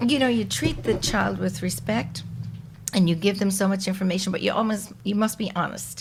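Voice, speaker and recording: Speech at a moderate pace carries audible room echo and noticeable background noise. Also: woman. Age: 60s. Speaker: podcast guest, mother of the host. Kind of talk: casual chat.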